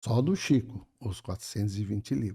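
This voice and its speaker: A man's medium-pitched, dark, mellow voice, somewhat breathy, with lively intonation at a fairly slow pace, on a very clean recording with a silent background. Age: 70s. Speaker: spiritist speaker. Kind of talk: podcast conversation.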